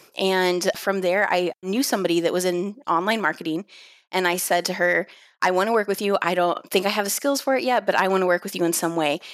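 This is a plain, everyday voice with ordinary pitch variation. It keeps a fairly quick pace at very even loudness. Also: woman, medium pitch for a woman. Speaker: email marketer. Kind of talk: casual interview.

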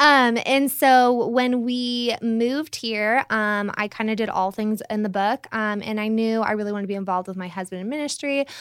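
An ordinary speaking voice with an American accent moves at a moderate pace with fairly even intonation and hardly any pauses, on a very clean recording with a silent background. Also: woman, fairly high pitch for a woman. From California. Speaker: realtor. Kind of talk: casual interview.

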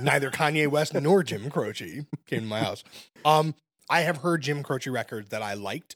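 In a normal speaking voice with an American accent, the speaker keeps a moderate pace and lively intonation, the sound dry and close with no echo. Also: man, fairly high pitch for a man. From Brooklyn, New York. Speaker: music critic. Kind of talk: casual chat.

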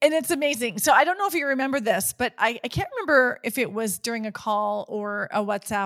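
A woman's fairly high pitch and lively intonation in a normal speaking voice, with a dry, close sound and no echo. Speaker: podcast host and coach. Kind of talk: podcast interview.

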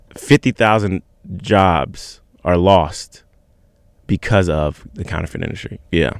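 A man with an American accent and a very deep, low pitch speaks with ordinary pitch variation and long, frequent pauses. The sound is dry and close, with no echo. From Virginia Beach, Virginia. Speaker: music manager. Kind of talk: casual chat.

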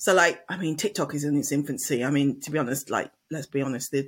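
Speech in an English accent moves at a fairly quick pace on a very clean recording with a silent background. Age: 40s. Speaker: marketing podcaster. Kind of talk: casual chat.

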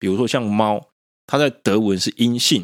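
A man with an unremarkable speaking voice and a fairly low pitch talks at a moderate pace in a very clean recording with a silent background and a dry, close sound with no echo. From Taiwan. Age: 30s. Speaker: podcast host. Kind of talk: solo monologue podcast.

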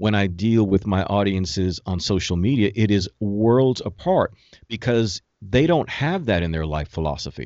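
His pitch shifting in an ordinary way, a man delivers his words at a moderate speed in a plain, everyday voice. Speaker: motivational speaker and life coach. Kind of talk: interview, conversational.

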